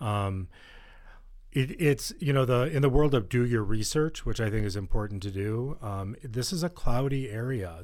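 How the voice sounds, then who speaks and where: A man with an American accent has an unremarkable speaking voice at a medium pitch. He speaks at a moderate pace with ordinary pitch variation. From Western New York, near Buffalo. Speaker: addiction treatment executive. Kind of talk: interview, personal testimony. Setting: studio.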